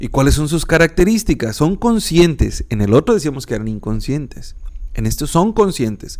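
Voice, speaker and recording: Calm and relaxed in tone, this man's fairly high voice moves through very wide pitch swings. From northern Mexico. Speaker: philosophy podcaster and teacher. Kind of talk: educational podcast lecture. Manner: calm, relaxed.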